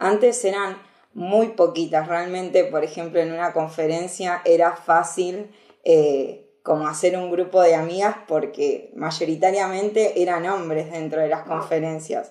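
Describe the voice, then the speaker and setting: A woman speaks fairly slowly in a plain, everyday voice. Her pitch is fairly low and her intonation fairly even. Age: 20s. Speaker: security researcher. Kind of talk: casual interview.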